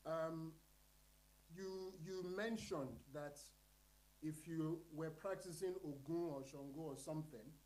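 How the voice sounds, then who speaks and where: A man with a Nigerian accent and fairly high pitch talks at a very slow pace, leaving long, frequent pauses. His intonation stays fairly even, and audible room echo surrounds the voice. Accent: Nigerian (Yoruba) English. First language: Yoruba. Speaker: panelist at literary colloquium. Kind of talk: panel discussion.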